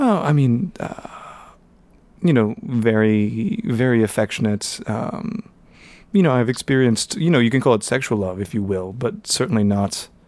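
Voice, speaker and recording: This is an unremarkable speaking voice at a moderate pace. The recording is very clean, with a silent background. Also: man. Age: 20s. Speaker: college English teacher. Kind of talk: casual chat.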